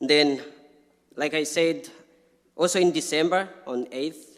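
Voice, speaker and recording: A man with an African accent speaks at a fairly slow pace. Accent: non-native, African. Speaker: refugee speaker. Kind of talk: personal testimony at public talk.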